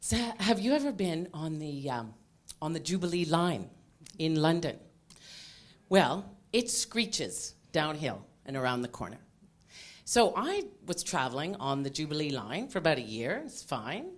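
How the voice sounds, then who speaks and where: Speaking with a Canadian accent at a moderate pace, a woman swings her pitch very widely and leaves long, frequent pauses. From Canada. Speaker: cancer patient speaker. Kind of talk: patient talk to audience.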